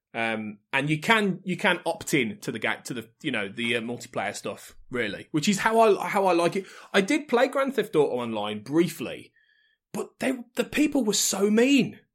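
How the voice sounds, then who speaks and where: Over a silent background in a very clean recording, a man with an English Midlands accent speaks at a moderate pace, his high pitch swinging very widely. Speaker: podcast network head. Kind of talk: casual chat.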